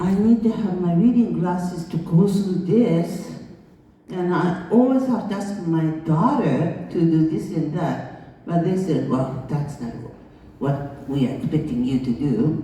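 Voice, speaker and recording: Someone with a Japanese accent speaks with lively intonation. Noticeable background noise and audible room echo are present. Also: woman. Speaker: international school founder. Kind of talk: conference speech.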